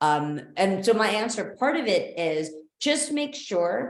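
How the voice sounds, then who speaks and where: A woman speaks with a medium pitch. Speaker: dog sports trainer. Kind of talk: webinar. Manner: loud; animated.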